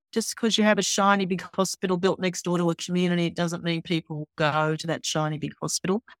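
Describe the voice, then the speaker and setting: Talking very fast with hardly any pauses, a woman with an Australian accent keeps a fairly low pitch and fairly even intonation, in a dry, close sound with no echo. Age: 60s. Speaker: university executive and health professor. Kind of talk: interview.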